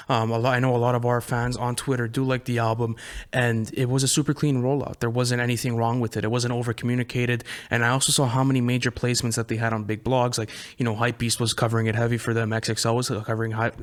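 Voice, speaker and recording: A man talks very fast at a medium pitch, his intonation flat and monotone. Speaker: hip hop podcast co-host. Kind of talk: casual chat. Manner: halting, stumbles over words.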